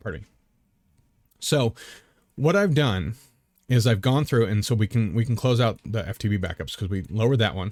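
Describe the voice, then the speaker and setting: On a very clean recording with a silent background, a man speaks at a medium pitch with ordinary pitch variation and long, frequent pauses. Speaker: Minecraft modpack creator. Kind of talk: tutorial. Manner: fast; animated.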